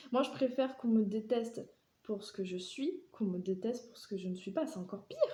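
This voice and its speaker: A dark, mellow tone at a fairly quick pace, with lively intonation. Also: woman. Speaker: vlogger. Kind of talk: personal monologue. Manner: talkative.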